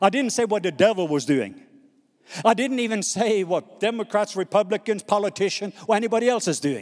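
The speaker has a Norwegian accent and an animated tone. The pace is fairly quick, with ordinary pitch variation. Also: man, high pitch for a man. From Norway. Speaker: missionary preacher. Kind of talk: sermon. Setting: stage with audience.

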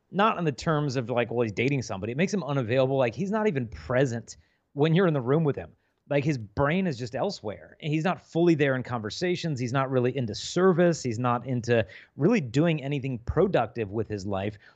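With lively intonation and a medium pitch, a man talks at a very fast pace. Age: 40s. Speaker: chastity speaker. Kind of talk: podcast interview. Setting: video call.

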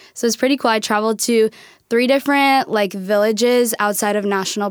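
A woman with a normal speaking voice talks at a fairly quick pace in an American accent. Her pitch is fairly high, her intonation fairly even, on a very clean recording with a silent background. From Minnesota, US Upper Midwest. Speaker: college student. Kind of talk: casual interview. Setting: studio.

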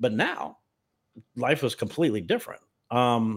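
This man speaks with an American accent. His pitch moves with ordinary variation. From US South (Memphis, Tennessee). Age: 50s. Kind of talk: personal testimony interview.

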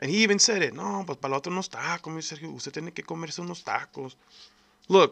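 At a fairly quick pace, a man with a fairly high pitch talks with vocal fry. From El Paso, Texas. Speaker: podcast host. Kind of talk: angry rant. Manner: heated, emphatic, profane; direct, repeated appeals to 'folks'.

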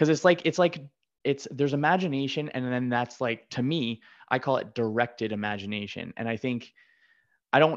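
A man with an ordinary speaking voice, a moderate pace, ordinary pitch variation, and a quiet background. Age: 30s. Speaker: podcast host. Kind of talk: casual interview conversation.

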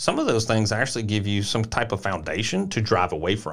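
On a very clean recording with a silent background, a man with a Tennessee accent talks at a very fast pace. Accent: Southern US (Tennessee). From rural Middle Tennessee, US South. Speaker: podcast co-host, former basketball player. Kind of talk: casual chat.

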